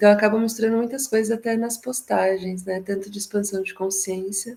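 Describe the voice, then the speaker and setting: Soft-spoken and medium-pitched, a woman talks at a fairly quick pace in a monotone, flat intonation. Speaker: psychologist and therapist, workshop participant. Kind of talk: casual discussion in an online workshop.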